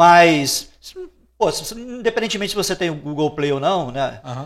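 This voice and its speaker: Lively intonation marks this man's high-pitched voice at a fairly quick pace. The recording is very clean, with a silent background. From Brazil, interior of the state. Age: 40s. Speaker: Portuguese language teacher. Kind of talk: casual interview chat.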